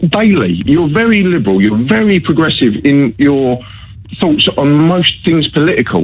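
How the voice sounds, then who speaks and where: At a moderate pace, a man speaks with very wide pitch swings against noticeable background noise. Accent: Essex. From Essex, England. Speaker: caller. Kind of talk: radio phone-in debate. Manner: animated, argumentative.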